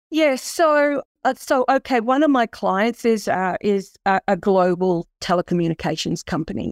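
Speaking at a fairly slow pace with lively intonation, a woman with an Australian accent comes through dry and close with no echo on a very clean recording with a silent background. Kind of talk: interview conversation.

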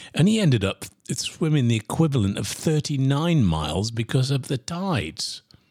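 A man's somewhat breathy, medium-pitched voice with very wide pitch swings, in a dry, close sound with no echo. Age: 60s. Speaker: podcast host and sales coach. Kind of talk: solo podcast monologue.

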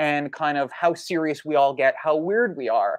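At a moderate pace, a plain, everyday voice speaks with ordinary pitch variation, recorded dry and close with no echo against a quiet background. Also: man. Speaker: law graduate studying for the bar. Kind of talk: casual legal discussion. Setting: livestream.

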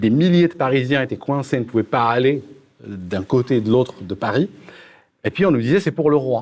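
Against a quiet background, a man with an ordinary speaking voice and a medium pitch talks at a moderate pace. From Algeria. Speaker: political youtuber. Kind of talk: panel debate.

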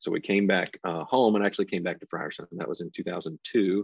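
With a Tennessee accent, a man speaks in a very deep, low pitch at a moderate pace with fairly even intonation. The sound is dry and close with no echo, over a quiet background. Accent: Southern US (Tennessee). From US South, Nashville, Tennessee. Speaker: construction company president. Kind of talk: interview.

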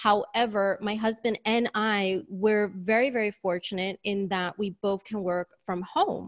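Speaking at a fairly slow pace with hardly any pauses, a woman with a New York accent uses a medium pitch and fairly even intonation in a dry, close sound with no echo. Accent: New York American. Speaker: career strategist. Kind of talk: casual interview.

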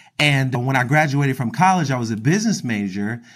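A man with an American accent speaks at a fairly quick pace in a medium pitch, with lively intonation and an unremarkable speaking voice, on a very clean recording with a silent background. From Philadelphia, US. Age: 30s. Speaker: wealth advisor. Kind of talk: casual interview chat.

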